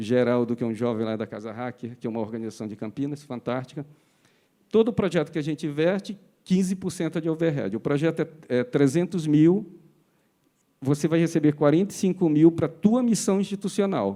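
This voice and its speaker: A fairly high-pitched man with a dark, mellow tone talks at a fairly quick pace, his pitch swinging very widely. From Pará, Brazil. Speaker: foundation executive. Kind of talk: panel discussion.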